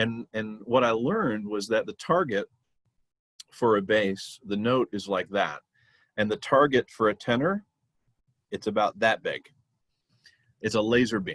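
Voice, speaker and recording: Pausing long and often, a man speaks at a fairly slow pace with ordinary pitch variation and a dry, close sound with no echo. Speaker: barbershop quartet tenor. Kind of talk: interview. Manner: animated.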